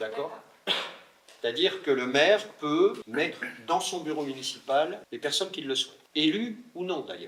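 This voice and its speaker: Amid noticeable background noise, a man with a fairly high voice speaks very slowly. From France, Burgundy (Le Creusot). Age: 60s. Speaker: mayor. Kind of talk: interview Q&A.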